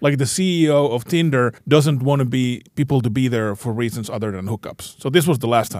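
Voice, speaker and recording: An unremarkable speaking voice from a man at medium pitch, fairly quick with hardly any pauses and ordinary pitch variation, in a very clean recording with a silent background. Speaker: podcast co-host. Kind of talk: casual chat.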